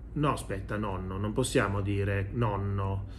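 A man speaks at a fairly slow pace. His voice is somewhat breathy. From Italy. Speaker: video commentator and economics professor. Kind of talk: news commentary monologue to camera. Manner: conversational, opinionated, mocking. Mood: ironic, mocking. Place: home room. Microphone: phone near.

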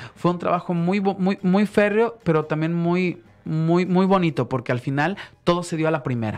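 At a moderate pace, a man talks at a high pitch with ordinary pitch variation. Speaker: singer; guest. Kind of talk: radio interview. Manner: halting. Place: studio. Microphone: studio mic.

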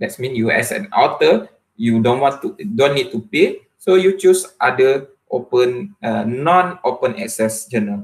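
A somewhat breathy man with a Malaysian accent, fairly high in pitch, with very wide pitch swings at a fairly slow pace. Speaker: university lecturer and researcher; university lecturer. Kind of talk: academic presentation. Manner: hesitant, frequent fillers. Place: home room. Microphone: webcam.

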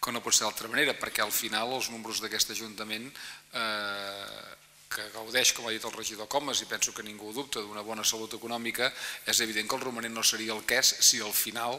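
This man speaks fairly quickly. The intonation stays monotone and flat. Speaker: council chair presiding the session. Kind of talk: formal council debate speech. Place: hall. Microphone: podium.

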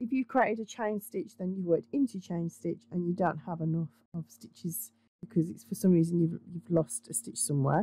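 With a dry, close sound and no echo, a woman speaks in a dark, mellow, somewhat breathy tone, her intonation lively and her loudness swinging widely. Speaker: crochet instructor. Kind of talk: craft tutorial talk to camera.

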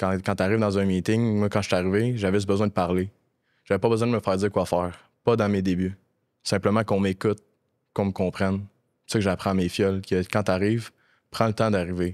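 Against a quiet background, a man talks at a very fast pace in a fairly low pitch, with long, frequent pauses. His intonation is monotone and flat, and his loudness stays very even. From Quebec. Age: 20s. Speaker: actor and casting director in addiction recovery. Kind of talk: personal testimony in casual interview. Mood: serious, reflective, personal story. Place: studio. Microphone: studio mic.

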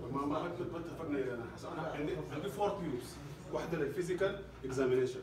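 Noticeable background noise and audible room echo surround a man speaking at a very fast pace. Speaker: lab lecturer. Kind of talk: lecture. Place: classroom. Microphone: phone near.

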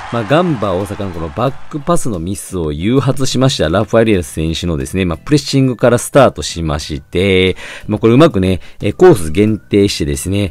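Very fast pace with very wide pitch swings. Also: man. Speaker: football channel host. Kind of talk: solo match review. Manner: many fillers, polite formal phrasing.

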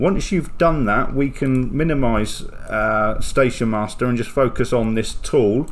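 A man at medium pitch, fairly slow pace, and ordinary pitch variation

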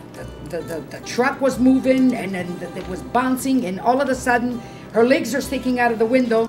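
Clear music plays in the background. A woman with an Italian accent speaks at a high pitch. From Italy. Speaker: hairdresser. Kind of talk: documentary interview. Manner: fast-talking. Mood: lively, joking. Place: shop.

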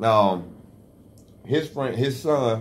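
Here a man speaks with a Southern US accent. His pitch is medium. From US South. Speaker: online radio show host. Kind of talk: casual chat. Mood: relaxed storytelling. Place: studio. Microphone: studio mic.

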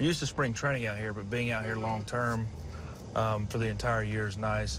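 The delivery moves at a fairly quick pace with ordinary pitch variation, dry sound with no echo, and noticeable background noise. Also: man. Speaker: guest. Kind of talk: interview answer. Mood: relaxed, casual. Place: car.

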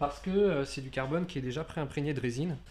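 Over a silent background, a man speaks in a very clean recording. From France, Nantes area. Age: 30s. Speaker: engineer and bicycle maker. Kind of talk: interview testimony.

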